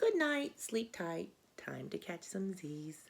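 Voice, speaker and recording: A woman does a put-on character voice at a medium pitch and a fairly slow pace. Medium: read story. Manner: laid-back.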